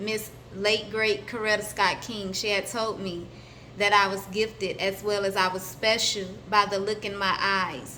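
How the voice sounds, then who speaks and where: With an American accent, a woman speaks at a moderate pace in a medium pitch, her intonation fairly even and the room echo audible. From US South, Atlanta, Georgia. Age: 30s. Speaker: spiritual vlogger. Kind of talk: personal introduction vlog. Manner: hesitant, many fillers.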